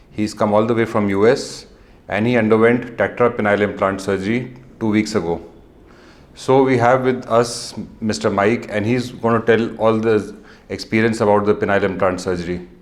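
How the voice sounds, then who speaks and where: A fairly low male voice in an Indian accent with fairly even intonation. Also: moderate pace. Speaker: urologist. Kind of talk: patient interview intro.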